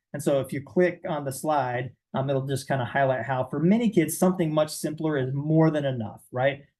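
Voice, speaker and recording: A man with a fairly high pitch and a dark, mellow tone talks at a fairly quick pace with hardly any pauses, sounding somewhat breathy, his pitch varying in an ordinary way. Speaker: behavioral clinician presenting to professionals. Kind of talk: lecture. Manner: fast; casual, conversational.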